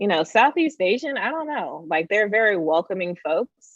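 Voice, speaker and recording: A speaker with a Californian accent talks at a moderate pace. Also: woman. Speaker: tech executive and educator. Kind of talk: interview.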